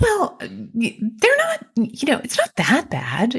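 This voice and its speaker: This put-on character voice sits fairly high in pitch and moves at a very slow pace. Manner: dismissive, in denial.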